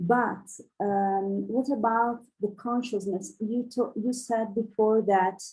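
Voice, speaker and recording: Her intonation is fairly even. This woman speaks with a non-native accent. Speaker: audience member asking a question. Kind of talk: question from audience. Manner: halting, many hesitations.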